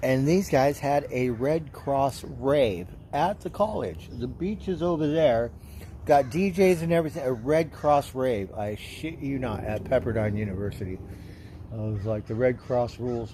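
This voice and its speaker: At a moderate pace, a man talks at a medium pitch with very wide pitch swings. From Southern California. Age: 60s. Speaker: livestreamer. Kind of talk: casual chat. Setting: livestream. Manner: rambling with fillers.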